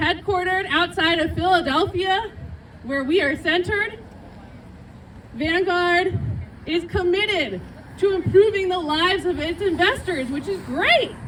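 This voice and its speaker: Loud speech comes at a fairly slow pace with ordinary pitch variation and long, frequent pauses, set against crowd noise in the background and audible room echo. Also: woman, extremely high pitch for a woman. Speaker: activist organizer. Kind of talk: rally speech.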